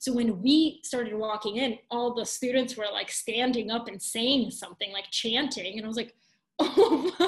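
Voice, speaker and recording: A woman with a Bulgarian accent talks at a moderate pace in a fairly high pitch, with ordinary pitch variation. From Bulgaria, then Atlanta, Georgia from age about 8. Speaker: journalist and newsletter writer. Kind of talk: casual interview chat. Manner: animated, filler-heavy.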